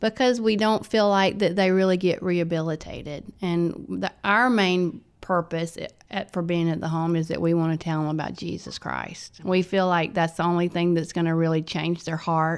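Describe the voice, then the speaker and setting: A woman with a Southern US accent, fairly low pitch, fairly even intonation and a moderate pace with hardly any pauses, on a very clean recording with a silent background. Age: 50s. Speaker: youth home director. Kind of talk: interview. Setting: studio.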